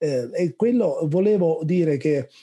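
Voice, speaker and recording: This man speaks with a Neapolitan accent. His tone is dark and mellow, and somewhat breathy. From Naples, southern Italy. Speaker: researcher. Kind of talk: question in a webinar Q&A. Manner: hesitant, many fillers.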